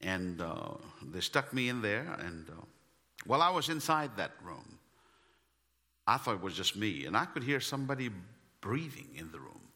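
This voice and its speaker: Bright, sharp tone with an Indian accent, very wide pitch swings, big swings in loudness, vocal fry, and long, frequent pauses. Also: man, fairly low pitch for a man, moderate pace. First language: Indian language (not English). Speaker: missionary preacher. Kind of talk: sermon. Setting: church. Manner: animated.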